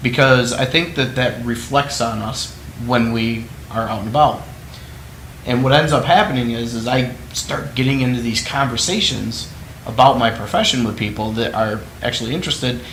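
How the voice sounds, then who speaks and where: This man has a medium-pitched voice and a moderate pace, recorded with audible room echo and noticeable background noise. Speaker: entrepreneur hosting own video series. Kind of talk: solo talk to camera. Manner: passionate, animated.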